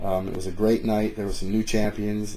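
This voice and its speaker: The voice is dark, mellow and somewhat breathy, with monotone, flat intonation, a fairly quick pace and audible room echo. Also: man. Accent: American. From northern Michigan, US. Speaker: MMA vlogger and event announcer. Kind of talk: casual vlog commentary. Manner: halting, many fillers.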